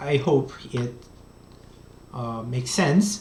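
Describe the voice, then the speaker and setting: The words come at a very slow pace with a Korean accent. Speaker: economics professor. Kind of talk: lecture. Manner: halting.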